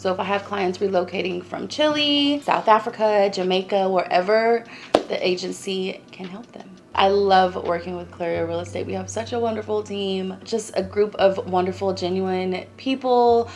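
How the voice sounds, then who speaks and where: Against noticeable background noise, a woman with an American accent speaks at a moderate pace with big swings in loudness. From California. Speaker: realtor. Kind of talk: promotional self-introduction.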